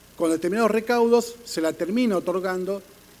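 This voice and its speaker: Noticeable background noise fills the recording. The man's pitch variation is ordinary. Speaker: panelist on police labor law. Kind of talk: conference panel talk. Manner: fast; halting with fillers and self-corrections.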